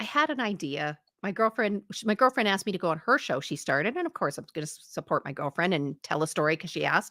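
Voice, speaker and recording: A woman speaks at a medium pitch with a bright, sharp tone and very wide pitch swings. The sound is dry and close, with no echo. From Alberta, western Canada. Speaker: history podcast host. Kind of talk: casual chat. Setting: livestream video call.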